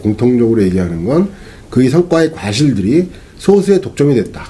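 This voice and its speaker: Noticeable background noise around a male voice of medium pitch, moderate in pace. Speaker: economist interviewed guest. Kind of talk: interview answer.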